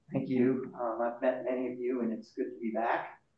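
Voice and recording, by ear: A man at a medium pitch and moderate pace, with audible room echo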